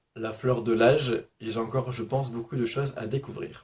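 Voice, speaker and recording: A man talks in a somewhat breathy voice. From Provence, southern France. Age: 20s. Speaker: booktuber. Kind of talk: casual vlog Q&A.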